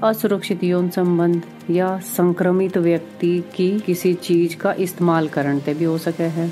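A woman speaks in a fairly low voice with fairly even intonation. Music plays in the background. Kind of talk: health awareness podcast.

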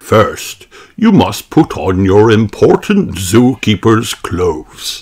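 Reading aloud, plainly done

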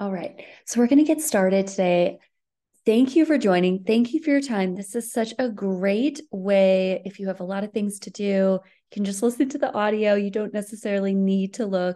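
A woman's dark, mellow tone against a quiet background. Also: ordinary pitch variation, moderate pace. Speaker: running coach presenting. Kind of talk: webinar presentation. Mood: friendly, upbeat. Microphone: webcam.

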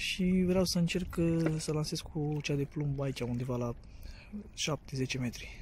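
Recorded dry with no echo and light background noise, a man speaks at a fairly slow pace with ordinary pitch variation. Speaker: angler vlogger. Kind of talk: casual vlog chat, tutorial. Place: waterside. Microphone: phone near.

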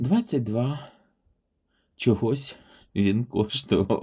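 Dark and mellow in tone, a man's medium-pitched voice comes through somewhat breathy. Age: 40s. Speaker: vintage porcelain YouTuber. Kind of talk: product showcase video. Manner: warm, enthusiastic.

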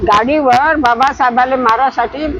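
A woman with a high-pitched voice and lively intonation talks through noticeable background noise. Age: 80s+. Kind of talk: interview answer, reminiscing.

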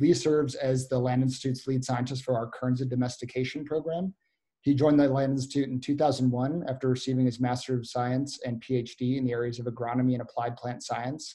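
Over a quiet background, a man speaks very fast in a flat, monotone way, his dark, mellow tone somewhat breathy. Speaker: webinar moderator. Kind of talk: webinar moderation. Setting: video call. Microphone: webcam.

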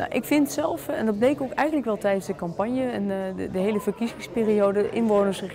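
Over noticeable background noise, a woman with a medium pitch talks at a very fast pace with lively intonation. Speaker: local politician, alderman. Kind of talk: press interview.

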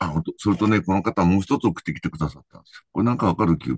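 Over a quiet background with a dry, echo-free sound, a man with a very deep, low voice and vocal fry talks very fast with ordinary pitch variation. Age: 70s. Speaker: professional angler. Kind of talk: casual chat.

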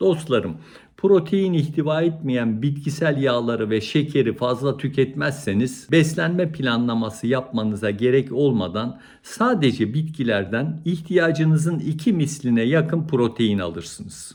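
Using a plain, everyday voice, the speaker moves at a fairly slow pace with lively intonation and hardly any pauses. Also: man, fairly high pitch for a man. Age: 60s. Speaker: cardiologist. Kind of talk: educational talk to camera.

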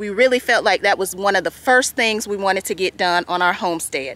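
In a bright, sharp tone, a woman speaks with ordinary pitch variation in a dry recording with no echo. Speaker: homesteading vlogger. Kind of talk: casual vlog chat. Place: open country. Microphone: phone near.

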